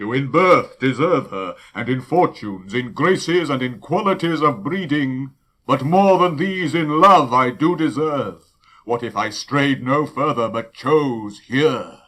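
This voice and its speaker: In a put-on character voice, a man speaks fairly slowly with a fairly high pitch and lively intonation, over a very clean, silent background. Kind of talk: classical Shakespearean verse acting. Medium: audio drama. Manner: grand, rhetorical.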